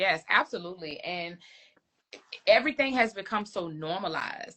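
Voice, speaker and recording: In a Virginia accent, a woman talks at a moderate pace. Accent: Southern US, Virginia. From rural Virginia, US South. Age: 20s. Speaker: licensed clinical social worker, therapist. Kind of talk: casual interview chat. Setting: Instagram live video stream.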